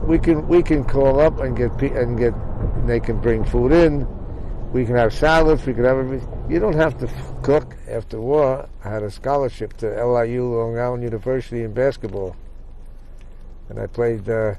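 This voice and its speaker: A man talks at medium pitch and a moderate pace, his pitch varying in an ordinary way, with noticeable background noise present. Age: 80s+. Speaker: war veteran. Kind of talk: casual conversation.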